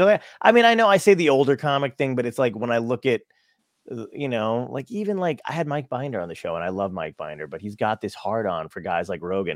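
In a very clean recording with a silent background and a dry, close sound free of echo, a man with an American accent talks very fast at medium pitch, with vocal fry, very wide pitch swings and big jumps in loudness. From New Jersey. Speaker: comedian. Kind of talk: casual chat.

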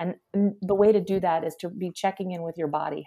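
In an American accent, a woman speaks at a fairly quick pace with a fairly low pitch and a dark, mellow tone. The sound is dry and close, with no echo. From US Northeast, Philadelphia. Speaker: health coach. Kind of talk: casual chat.

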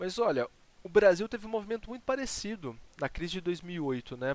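A man talks at a moderate pace, and the sound is dry and close, without any echo. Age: 20s. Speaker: history teacher. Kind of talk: casual chat.

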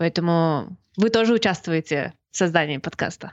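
A woman speaks at a fairly slow pace. Her pitch varies an ordinary amount. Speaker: podcast co-host. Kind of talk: live podcast chat.

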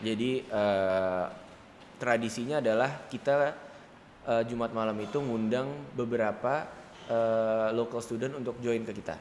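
A man speaks fairly slowly in an ordinary speaking voice, his medium pitch held in fairly even intonation. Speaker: young entrepreneur and event organizer. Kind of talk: casual interview chat.

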